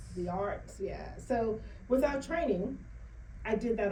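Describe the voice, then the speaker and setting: A woman talks at a moderate pace with lively intonation. Audible room echo and noticeable background noise are present. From Bahamas. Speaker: author and financial educator. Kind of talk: interview. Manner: animated.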